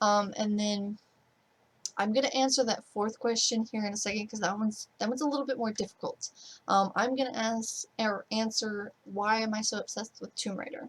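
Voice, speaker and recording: Quiet and somewhat breathy, a woman speaks at a fairly quick pace and fairly high pitch with fairly even intonation. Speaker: gaming streamer. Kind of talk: casual Q&A vlog. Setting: bedroom at parents' home, night. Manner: kept quiet, low-key; rambling.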